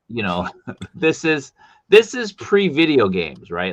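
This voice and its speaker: With a Boston accent, a man speaks at a moderate pace with lively intonation. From US, Boston. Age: 50s. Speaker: streamer host. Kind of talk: casual interview chat. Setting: live stream.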